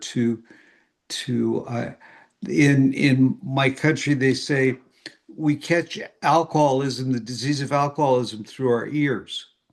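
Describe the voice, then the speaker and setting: With an American accent, a man speaks at a very slow pace. His medium-pitched voice keeps a fairly even intonation. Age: 70s. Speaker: AA speaker and historian. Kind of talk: recovery talk to an online meeting. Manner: halting with fillers.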